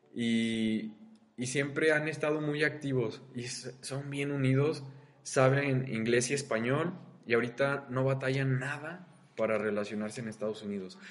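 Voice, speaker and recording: The pace is fairly slow, with ordinary pitch variation. Room echo is audible, and there is noticeable background noise. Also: man, medium pitch for a man. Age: 20s. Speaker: student podcast host. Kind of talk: casual chat. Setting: university classroom. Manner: animated.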